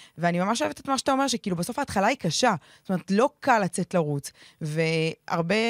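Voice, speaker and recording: The recording is very clean, dry and close, with no echo and a silent background. A woman speaks very fast at a medium pitch with very wide pitch swings. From Israel, ultra-Orthodox community. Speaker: podcast host. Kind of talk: casual chat.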